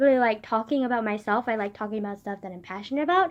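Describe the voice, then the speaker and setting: A soft-spoken woman talks at a very fast pace. Her intonation is lively. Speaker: vlogger. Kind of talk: casual personal vlog.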